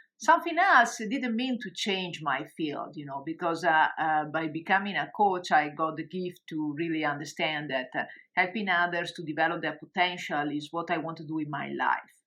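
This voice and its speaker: A woman with an Italian accent talks at a moderate pace in a fairly low, bright, sharp voice, with ordinary pitch variation, big swings in loudness and hardly any pauses, over a quiet background. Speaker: coach and online course creator. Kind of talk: webinar presentation. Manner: hesitant, many fillers.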